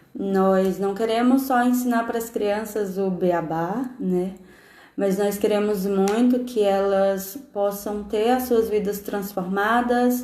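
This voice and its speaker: A dark, mellow tone carries very slow speech with fairly even intonation. Audible room echo surrounds it. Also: woman, medium pitch for a woman. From Brazil, interior of Ceará. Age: 20s. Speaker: missionary teacher. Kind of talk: testimony.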